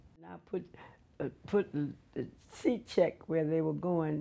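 The voice has a dark, mellow tone and moves at a fairly slow pace with ordinary pitch variation. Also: woman. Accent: Southern US. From Mississippi. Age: 80s+. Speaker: retired railroad porterette. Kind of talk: interview answer. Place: home room.

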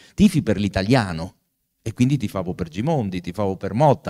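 Over a quiet background, a man with a dark, mellow tone speaks at a moderate pace and fairly low pitch with lively intonation. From Italy, Pesaro (Marche); Marche, Italy. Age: 60s. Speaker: law professor and author; law professor. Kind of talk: book presentation talk. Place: hall. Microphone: handheld.

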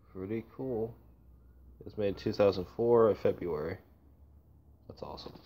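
Pausing long and often, a man with a dark, mellow tone and fairly low pitch speaks with big swings in loudness. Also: ordinary pitch variation, moderate pace. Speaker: youtuber reviewing gas mask gear. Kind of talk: casual show-and-tell unboxing. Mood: enthusiastic, impressed. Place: home room. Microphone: phone near.

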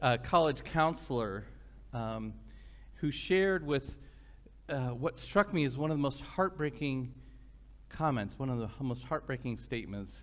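Long, frequent pauses break up a man's speech, delivered at a moderate pace with ordinary pitch variation. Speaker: minister. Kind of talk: sermon. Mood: warm, reflective. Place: church. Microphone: podium.

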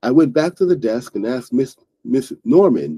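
Someone reads aloud in a natural voice. Nothing else is heard around it.

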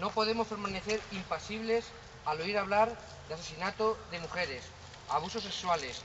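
A man speaks in a high pitch at a moderate pace with ordinary pitch variation. Noticeable background noise runs underneath. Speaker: manifesto reader at a vigil. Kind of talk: public reading of a statement. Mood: solemn, serious. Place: street. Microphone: camera far.

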